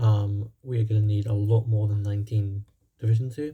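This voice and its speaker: Somewhat breathy, a man speaks at a medium pitch with a dark, mellow tone. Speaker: gaming YouTuber. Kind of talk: gameplay commentary. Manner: fast; hesitant, many fillers.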